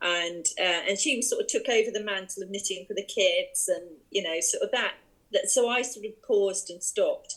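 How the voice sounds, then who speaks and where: At a moderate pace, a woman speaks with an English accent. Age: 60s. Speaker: yarn shop owner and online craft community creator. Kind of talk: interview. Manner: hesitant, many fillers.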